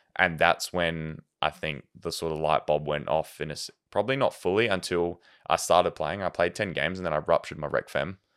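Speaking at a fairly quick pace in an Australian accent, a man has a very deep, low pitch with ordinary pitch variation. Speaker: professional soccer goalkeeper. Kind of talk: casual chat.

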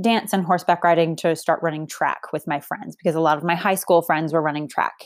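With an American accent, a woman in a normal speaking voice talks at a fairly low pitch with fairly even intonation, recorded very cleanly against a silent background. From Boston, Massachusetts. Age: 30s. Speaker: fitness coach and podcast host. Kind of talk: solo podcast monologue. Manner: casual, filler-heavy.

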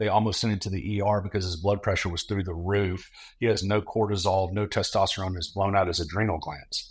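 A man with a fairly low, somewhat breathy voice talks at a very fast pace with hardly any pauses, on a very clean recording with a silent background. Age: 40s. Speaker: pastor and ministry leader. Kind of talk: casual chat. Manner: animated.

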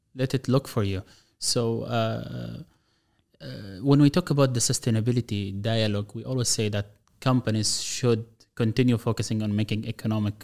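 A man with an Arabic accent speaks at a medium pitch in a very clean recording with a silent background. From Gaza, Palestine. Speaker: government official and speaker. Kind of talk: interview.

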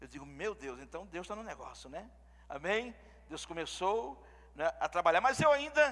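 At a moderate pace, the voice has a bright, sharp tone, very wide pitch swings and big swings in loudness. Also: man. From Pernambuco, Brazil. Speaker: visiting pastor. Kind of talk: sermon. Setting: church service with congregation.

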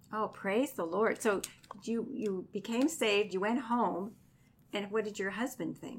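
A woman's plain, everyday voice, fairly high in pitch, with ordinary pitch variation and a fairly slow pace. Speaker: radio host, chaplain. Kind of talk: radio interview. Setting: radio studio.

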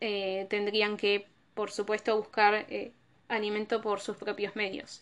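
Her voice sits fairly high in pitch as the woman moves along at a fairly slow pace. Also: very clean recording, silent background. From Argentina. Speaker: tourism professional and podcast host. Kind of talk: solo educational podcast talk.

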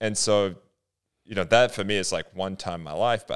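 A plain, everyday voice with an American accent comes through on a very clean recording with a silent background. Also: man. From Australia, adulthood in US (Detroit). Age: 30s. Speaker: podcast co-host. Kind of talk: casual chat.

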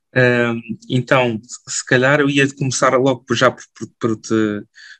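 A man speaks at medium pitch. The sound is dry and close, with no echo. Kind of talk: podcast interview. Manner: halting, frequent fillers.

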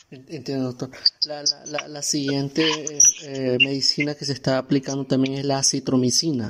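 A man speaks at a moderate pace in a fairly high pitch. His intonation is monotone and flat, with big swings in loudness. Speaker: radio host and journalist. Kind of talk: scripted narration. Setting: radio studio.

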